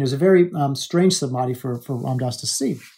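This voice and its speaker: Very fast and with an American accent, a man speaks in a fairly high, dark, mellow, somewhat breathy voice with ordinary pitch variation, recorded very cleanly against a silent background. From Alaska. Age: 40s. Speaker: life coach and podcast host. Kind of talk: motivational monologue.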